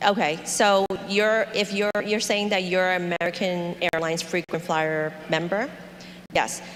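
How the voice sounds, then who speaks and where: This is an unremarkable speaking voice. It moves at a fairly slow pace with fairly even intonation. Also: woman, medium pitch for a woman. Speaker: tour company representative. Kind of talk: information meeting presentation.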